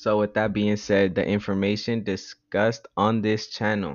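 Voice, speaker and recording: This is a plain, everyday voice with fairly even intonation. It moves at a fairly slow pace. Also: man. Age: 20s. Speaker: podcast host. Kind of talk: casual monologue. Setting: at home.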